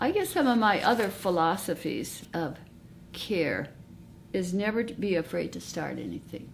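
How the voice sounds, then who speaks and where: A woman with vocal fry speaks at a moderate pace and a medium pitch, with ordinary pitch variation. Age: 80s. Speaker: retired nurse midwife. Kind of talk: recorded interview, personal reflection.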